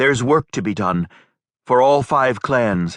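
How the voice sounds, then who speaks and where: A man uses a put-on character voice with lively intonation at medium pitch and a fairly slow pace. The background is quiet, and the sound is dry and close with no echo. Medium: read story.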